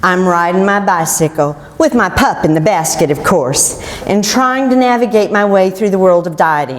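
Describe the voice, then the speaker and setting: A woman with an American accent speaks at a moderate pace with lively intonation and a fairly low pitch. Noticeable background noise sits behind her. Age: 60s. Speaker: keto success story speaker. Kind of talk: prepared personal testimony talk.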